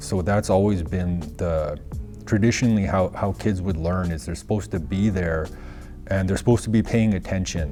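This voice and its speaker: With music in the background, the speaker talks at a moderate pace in a northern Canadian accent, using ordinary pitch variation. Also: man, very deep, low pitch for a man. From Northwest Territories, Canada (Fort Good Hope, Yellowknife). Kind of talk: interview. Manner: halting, many fillers.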